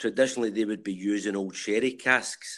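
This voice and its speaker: With a Glaswegian accent, a man talks at a fairly quick pace and a fairly low pitch, his intonation fairly even. The recording is very clean, with a silent background. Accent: Glaswegian Scottish. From Glasgow, Scotland (Rutherglen). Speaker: civil engineer and pop-up whisky bar owner. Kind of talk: casual interview.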